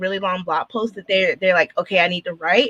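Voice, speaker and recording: A woman's voice comes through with a dry, close sound with no echo. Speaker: podcast host. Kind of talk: podcast interview. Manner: fast.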